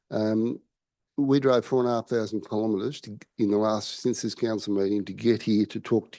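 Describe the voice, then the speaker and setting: A man with an Australian accent, fairly low pitch and dark, mellow tone, flat monotone intonation, big swings in loudness and a fairly quick pace, over a quiet background. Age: 60s. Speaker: member of the public. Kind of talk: public forum address. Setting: council chamber. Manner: halting.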